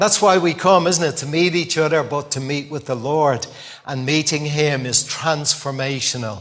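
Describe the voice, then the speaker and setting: A man with a Dublin accent at a fairly high pitch and moderate pace, ordinary pitch variation, over noticeable background noise. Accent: Dublin Irish. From Dublin, Ireland. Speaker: visiting preacher. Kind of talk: sermon sharing personal testimony. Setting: church with congregation.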